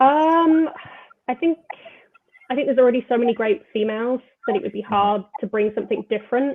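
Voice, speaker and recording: A woman with a high voice talks at a fairly quick pace and lively intonation. She leaves long, frequent pauses. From England, Birmingham. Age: 20s. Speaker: football journalist. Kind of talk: interview. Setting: live online show.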